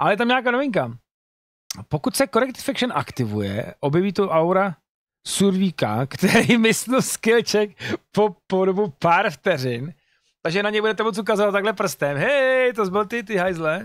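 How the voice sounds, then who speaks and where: A man talks at a moderate pace and high pitch with lively intonation, in a dry sound with no echo and a quiet background. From Czech Republic. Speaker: gaming streamer. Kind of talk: casual commentary reading patch notes. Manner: casual, swearing, reading English aloud. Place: home room. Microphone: studio mic.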